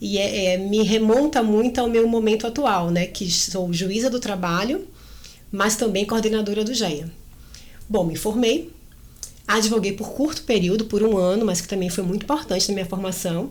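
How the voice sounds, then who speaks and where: Someone with a Bahian accent speaks at a moderate pace with ordinary pitch variation, and the room echo is audible. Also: woman, medium pitch for a woman. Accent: Bahian accent, still noticeable. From Brazil, Salvador, Bahia. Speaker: labour court judge. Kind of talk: interview.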